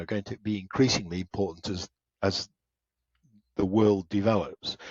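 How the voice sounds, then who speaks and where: A man with a British accent, fairly low-pitched, at a moderate pace and with fairly even intonation. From England. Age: old. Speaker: automotive engineer. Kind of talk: interview.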